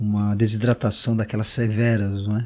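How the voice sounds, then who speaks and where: A man speaks in a dark, mellow tone at a fairly slow pace. His intonation is monotone and flat, in a very clean recording with a silent background. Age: 60s. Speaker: shaman and author. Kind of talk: interview. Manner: halting, many fillers.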